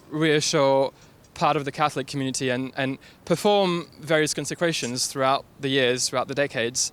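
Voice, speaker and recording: Speaking with a French accent, a man uses a fairly high pitch and fairly even intonation at a moderate pace. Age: young. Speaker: staff writer. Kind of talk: street interview. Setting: outdoors.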